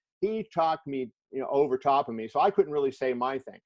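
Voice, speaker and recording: This is a man at a medium pitch. He has an ordinary speaking voice. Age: 60s. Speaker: sports journalist. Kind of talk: interview in a virtual class.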